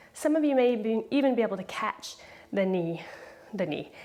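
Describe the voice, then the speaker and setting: Over noticeable background noise, a woman with a fairly high pitch speaks in a calm tone with lively intonation. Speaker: yoga teacher. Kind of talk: guided yoga class. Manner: slowed down, deliberate; calm, instructive.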